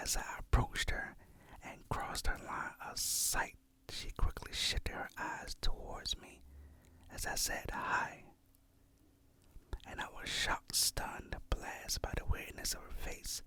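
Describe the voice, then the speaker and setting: A whisper with long, frequent pauses. Background noise is noticeable. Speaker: ASMR creator. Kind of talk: reading Reddit horror stories. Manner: whispered.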